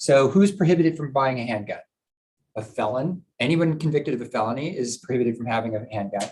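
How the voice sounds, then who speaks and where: Somewhat breathy and at medium pitch, a man speaks at a very fast pace. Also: lively intonation. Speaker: prosecutor giving a presentation. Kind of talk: presentation to a board meeting. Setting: live-streamed public meeting.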